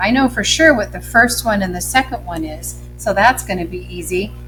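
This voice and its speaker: A woman speaks with music in the background. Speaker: first grade teacher. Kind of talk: tutorial. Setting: recorded lesson video. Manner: slow spelling out letters.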